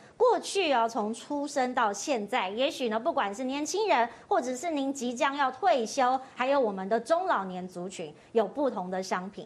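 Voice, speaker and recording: The speaker moves at a moderate pace with hardly any pauses, swinging through very wide shifts in pitch. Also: woman, high pitch for a woman. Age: middle-aged. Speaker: talk show host. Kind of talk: casual chat. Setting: studio.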